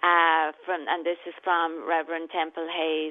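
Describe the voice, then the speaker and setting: A woman's fairly low voice in a flat monotone at a moderate pace. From southwest Ireland. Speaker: professor and educator. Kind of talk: casual interview.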